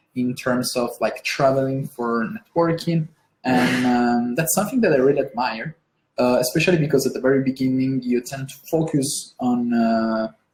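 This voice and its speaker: This woman has a very deep, low pitch. She speaks with an Italian accent. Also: ordinary pitch variation, moderate pace. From Italy. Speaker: interviewer. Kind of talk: interview. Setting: live stream. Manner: hesitant, many fillers.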